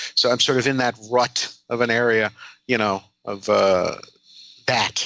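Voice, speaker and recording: Fairly slowly, the speaker talks with intonation that stays fairly even. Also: man, medium pitch for a man. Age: 50s. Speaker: comedian. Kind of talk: casual chat. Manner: halting.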